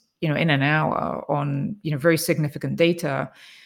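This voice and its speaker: Moderate pace and fairly even intonation in a very clean recording with a silent background. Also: woman. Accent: English. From England. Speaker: biotech executive. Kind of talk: interview.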